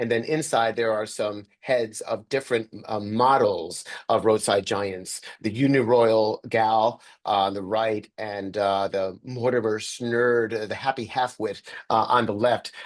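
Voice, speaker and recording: A man speaks with a New York accent at a medium pitch. His pace is fairly slow, his intonation fairly even, and the background is quiet. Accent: New York area American. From US Northeast, Sleepy Hollow, New York. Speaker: journalist and author. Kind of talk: interview over video call. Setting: video call. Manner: many filler words and hesitations.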